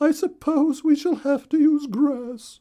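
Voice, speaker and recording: A put-on character voice, high-pitched and fairly slow. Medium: read story.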